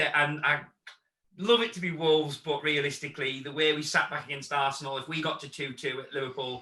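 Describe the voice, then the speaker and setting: Here a man with a northern English accent speaks at a fairly high pitch. His pace is fairly quick and his intonation fairly even. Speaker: football fan channel host. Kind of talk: casual chat; outro to camera.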